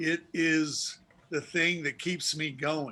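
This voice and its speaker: An American-accented man with a fairly high pitch and a bright, sharp tone. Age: 60s. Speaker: author and sportswriter. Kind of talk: interview on a video chat show. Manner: reflective.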